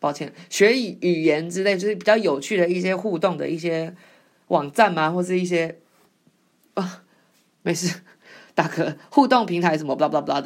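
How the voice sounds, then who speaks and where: Recorded very cleanly against a silent background, a woman speaks at a moderate pace, her pitch fairly low with ordinary variation. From Taiwan. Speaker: podcast host. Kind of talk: casual monologue. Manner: hesitant, many fillers.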